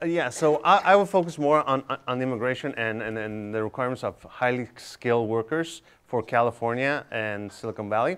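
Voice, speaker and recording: With a Spanish accent, a man talks at a fairly quick pace using lively intonation. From Tijuana, Mexico; Mexico. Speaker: tech incubator director; panelist. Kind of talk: panel discussion. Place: hall. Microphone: lapel.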